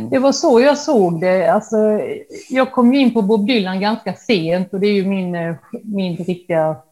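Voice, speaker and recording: A woman with an unremarkable speaking voice talks at a fairly slow pace, medium in pitch, with ordinary pitch variation. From Halmstad, Sweden. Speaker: painter inspired by Dylan. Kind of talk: casual interview chat.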